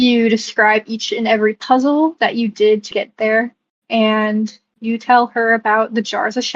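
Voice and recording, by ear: The speaker is reading aloud in a natural voice. Little sound comes from behind.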